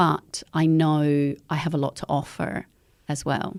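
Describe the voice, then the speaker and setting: A woman's very deep, low voice with a dark, mellow tone and an Australian accent. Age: 50s. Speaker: eco educator. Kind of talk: podcast interview.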